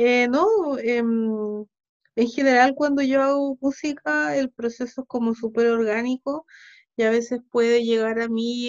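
In a dry, close sound with no echo, a woman with a high pitch speaks at a very slow pace with ordinary pitch variation. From Chile (arrived age seven, born Ukraine, early childhood Sweden). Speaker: musician and composer. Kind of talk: casual interview.

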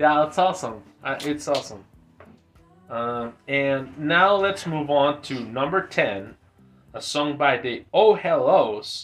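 A man speaks at a very slow pace with a fairly high pitch and lively intonation. Music plays in the background. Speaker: podcast host. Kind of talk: casual chat.

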